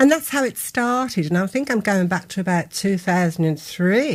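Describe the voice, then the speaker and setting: In a Birmingham accent, a woman speaks at a medium pitch with very wide pitch swings. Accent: Birmingham (Brummie). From Birmingham, England (Spring Hill). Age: 70s. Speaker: author and local memoir writer. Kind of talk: radio interview.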